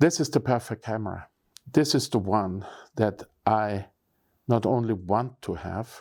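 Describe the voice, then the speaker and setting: A man's fairly low voice at a fairly slow pace, with ordinary pitch variation and long, frequent pauses, in a very clean recording with a silent background. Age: 60s. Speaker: photography YouTuber. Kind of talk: casual vlog talk to camera.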